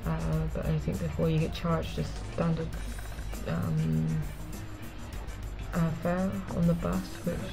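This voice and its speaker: A woman speaks with a very deep, low voice and lively intonation. She takes long, frequent pauses over clear background music. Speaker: vlogger. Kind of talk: casual talk to camera. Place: home room. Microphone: webcam.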